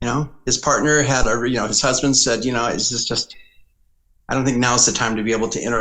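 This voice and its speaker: A man's unremarkable speaking voice at a medium pitch. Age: 60s. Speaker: political consultant. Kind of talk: podcast interview.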